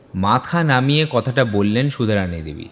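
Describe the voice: A man talks at a fairly quick pace with lively intonation. His medium-pitched voice has a fairly bright tone.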